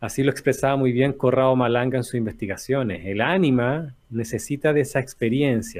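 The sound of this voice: At a fairly quick pace, a man talks in a medium pitch with ordinary pitch variation and a slightly mellow tone.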